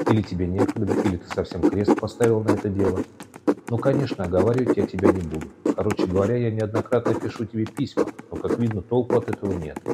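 Speaking very fast, a man uses a fairly low voice with ordinary pitch variation against noticeable background noise. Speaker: podcast narrator. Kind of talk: scripted narration of wartime history, podcast documentary style. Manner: steady, measured, formal and solemn, with a dramatic documentary tone.

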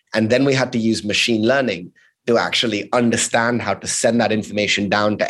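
Against a quiet background, a man talks at a fairly quick pace. His is a plain, everyday voice of medium pitch. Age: 30s. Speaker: tech company CEO. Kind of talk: interview. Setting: hotel room.

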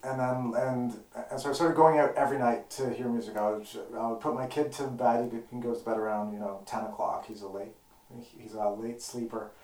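Over noticeable background noise and audible room echo, a man speaks at a fairly quick pace. His pitch is medium and his intonation fairly even. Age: 30s. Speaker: guitarist. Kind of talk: casual chat. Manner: halting.

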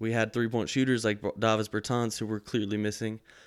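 A man with an American accent and medium pitch talks at a fairly quick pace in a monotone, flat way on a very clean recording with a silent background. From Texas, San Antonio. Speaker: sports podcast host. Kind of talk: casual sports talk.

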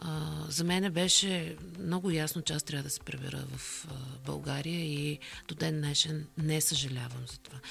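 A woman with a very deep, low pitch at a fairly slow pace, over noticeable background noise. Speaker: corporate communications director. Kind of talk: interview.

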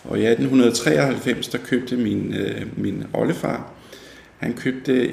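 Male speech carrying audible room echo. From Denmark, North Zealand (Fredensborg). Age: 60s. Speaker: local historian. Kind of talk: interview. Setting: at his home. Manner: halting, many fillers and repetitions.

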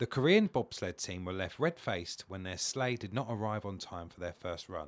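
With a British accent, a man speaks at a moderate pace in a fairly low pitch with ordinary pitch variation. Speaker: comedian. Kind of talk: casual chat.

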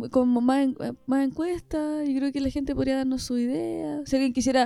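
A high-pitched woman's voice with fairly even intonation and hardly any pauses. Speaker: podcast co-host. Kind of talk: casual chat.

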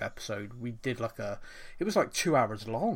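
A man speaks at medium pitch and a moderate pace in a plain, everyday voice. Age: 30s. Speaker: football podcast host. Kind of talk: casual chat.

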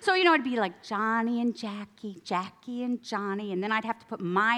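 A woman's bright, sharp voice, fairly high in pitch, with an American accent. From upstate New York. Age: 50s. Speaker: guest speaker at church. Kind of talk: sermon. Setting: outdoor tent meeting with audience. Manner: casual, animated.

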